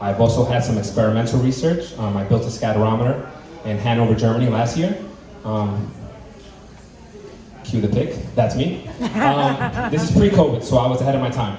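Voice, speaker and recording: A man talks fairly quickly in an animated tone at medium pitch, with ordinary pitch variation and long, frequent pauses. Background noise is noticeable, and room echo can be heard. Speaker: undergraduate astronomer giving a science talk. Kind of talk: public talk at a bar event. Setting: bar with live audience. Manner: fast; casual, animated.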